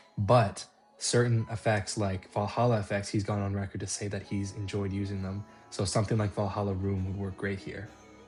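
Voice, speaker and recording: A man speaking in a flat monotone over background music. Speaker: guitarist. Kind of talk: guitar tone tutorial narration.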